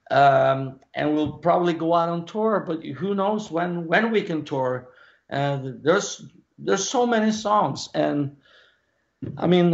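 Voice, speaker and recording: At a fairly slow pace, a man talks in a fairly high voice with lively intonation. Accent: Norwegian. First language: Norwegian. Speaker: rock singer. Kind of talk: casual interview.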